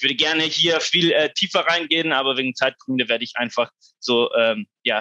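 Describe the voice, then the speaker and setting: Bright and sharp in tone, the voice speaks at a moderate pace with a non-native accent and ordinary pitch variation, in a dry, close sound with no echo. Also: man. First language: not German (speaking German). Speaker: researcher at a foundation. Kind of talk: conference presentation. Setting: online conference. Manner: halting, many fillers.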